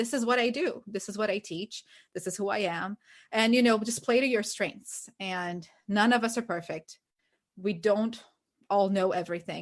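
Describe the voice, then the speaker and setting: Here a woman speaks with a Portuguese accent at a moderate pace. Her pitch sits in the medium range. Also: ordinary pitch variation. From Brazil. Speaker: ESL teacher and podcast co-host. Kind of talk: casual chat.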